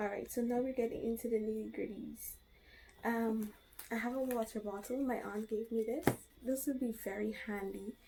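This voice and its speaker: Quietly, a woman speaks with a dark, mellow tone and fairly even intonation. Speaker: vlogger. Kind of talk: casual show-and-tell vlog. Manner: speaking quietly.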